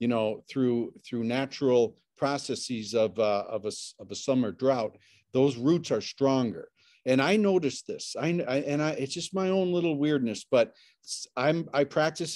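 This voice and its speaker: Medium in pitch, a man speaks in an ordinary speaking voice at a moderate pace. His pitch varies in an ordinary way, over a quiet background. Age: 60s. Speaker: sauna specialist and podcaster. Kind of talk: casual interview chat. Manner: repetitive restarts.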